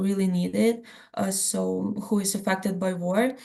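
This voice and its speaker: Somewhat breathy, the woman holds a medium pitch in a flat, monotone delivery. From Ukraine, Lviv region. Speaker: journalism student. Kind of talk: panel Q&A answer. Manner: halting, many fillers.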